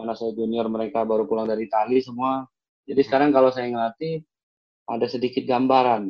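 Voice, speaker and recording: A man talks very fast. His pitch stays fairly even. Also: medium pitch for a man. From Jakarta. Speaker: former professional footballer and coach. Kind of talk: casual interview.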